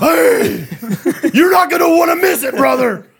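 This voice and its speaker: Put-on character voice with fairly high pitch and a moderate pace. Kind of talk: hyped announcement. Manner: bombastic, gruff.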